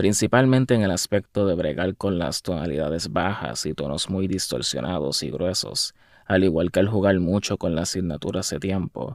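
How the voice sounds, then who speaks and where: A man talks at a moderate pace with lively intonation, vocal fry, and hardly any pauses. The recording is very clean, with a silent background. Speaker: musician. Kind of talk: casual video monologue. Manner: halting.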